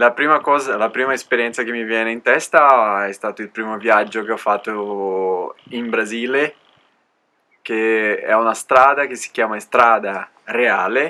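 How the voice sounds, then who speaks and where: Bright and sharp in tone, a man speaks at a fairly slow pace with a medium pitch. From Alto Adige, Italy. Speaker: cycle traveller. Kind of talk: interview. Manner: concise.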